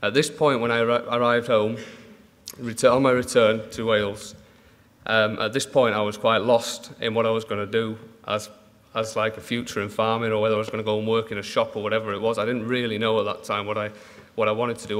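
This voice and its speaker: A man's medium-pitched voice, monotone and flat, at a very fast pace. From Manchester, northern England; northern England. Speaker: dairy farmer. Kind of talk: conference talk. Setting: stage with audience. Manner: halting. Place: hall. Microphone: podium.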